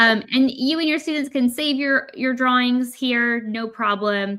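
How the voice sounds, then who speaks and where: Loud and high-pitched, a woman talks in a bright, sharp tone with an American accent. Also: ordinary pitch variation, fairly slow pace. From United States. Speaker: product presenter for a creative app company. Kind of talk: webinar demo. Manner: casual, lots of fillers.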